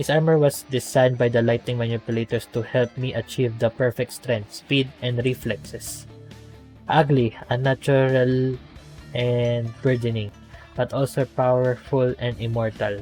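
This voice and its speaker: A man with a non-native accent at a moderate pace, fairly even intonation, music in the background. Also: medium pitch for a man. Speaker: gameplay commentator. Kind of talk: reading game dialogue aloud.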